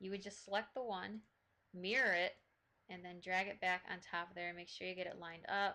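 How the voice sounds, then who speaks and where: A woman speaks at a medium pitch and a fairly quick pace. Her tone is bright and sharp. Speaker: modding tutorial creator. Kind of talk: tutorial. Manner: hesitant with fillers.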